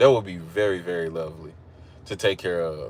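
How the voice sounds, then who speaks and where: With an Oklahoma accent, a man talks in a very clean recording over a silent background. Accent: country (Oklahoma). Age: 30s. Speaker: live streamer. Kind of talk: casual chat. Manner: casual, repetitive fillers.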